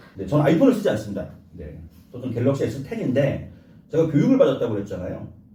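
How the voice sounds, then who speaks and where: A man talks at a very fast pace with very wide pitch swings. The recording has noticeable background noise and audible room echo. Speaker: YouTuber and producer being interviewed. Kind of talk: interview.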